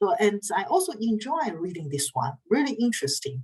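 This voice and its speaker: A somewhat breathy woman with a medium pitch speaks at a fairly slow pace, her pitch swinging very widely. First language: not English or Dutch. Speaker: university lecturer in research methods. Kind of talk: online lecture. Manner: halting, frequent uh fillers.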